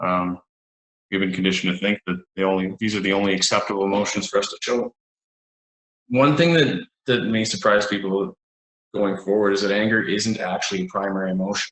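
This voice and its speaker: In a western Canadian accent, the speaker talks at a fairly quick pace, broken by long, frequent pauses. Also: man, fairly low pitch for a man. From Alberta, Canada. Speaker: psychologist. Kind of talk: panel discussion.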